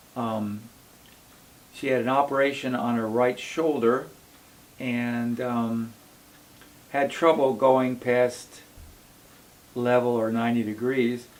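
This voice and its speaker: Over noticeable background noise, a man speaks at a very slow pace with long, frequent pauses. His medium-pitched voice stays monotone and flat. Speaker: acupuncture doctor. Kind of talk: clinic case presentation to camera.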